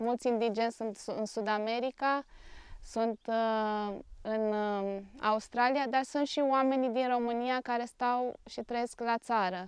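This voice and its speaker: A woman talks at a very slow pace in a fairly high pitch with fairly even intonation. The background is quiet. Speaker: NGO director, clinical psychologist. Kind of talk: interview. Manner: hesitant, many fillers.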